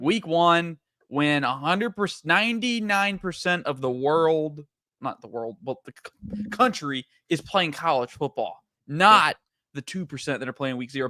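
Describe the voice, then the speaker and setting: With lively intonation, a man speaks in a bright, sharp tone, the sound dry and close with no echo. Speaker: sports podcast co-host. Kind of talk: casual chat. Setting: live stream. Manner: fast.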